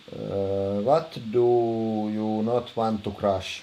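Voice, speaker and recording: A man's fairly low voice with a strong Finnish accent. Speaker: streamer. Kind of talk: casual, answering chat.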